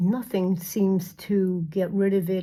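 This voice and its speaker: A woman's somewhat breathy voice at medium pitch, dark and mellow in tone. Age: 60s. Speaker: beauty vlogger. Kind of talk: makeup tutorial. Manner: halting.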